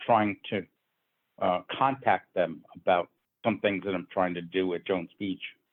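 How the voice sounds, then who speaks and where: A man with an American accent, an ordinary speaking voice and fairly even intonation. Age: 60s. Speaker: square dance caller's descendant, interviewee. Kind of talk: interview.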